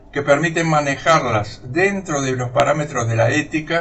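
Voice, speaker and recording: A man's fairly high voice with audible room echo. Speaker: retired surgeon, academy lecturer. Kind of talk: recorded lecture. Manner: slow, sped up in editing; formal.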